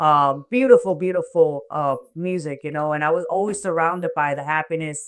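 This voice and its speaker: On a very clean recording with a silent background, a woman with a Miami accent and fairly low pitch talks at a moderate pace with hardly any pauses, ordinary pitch variation and big swings in loudness. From Miami, Florida (born in Cuba). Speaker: reggae singer. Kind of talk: interview.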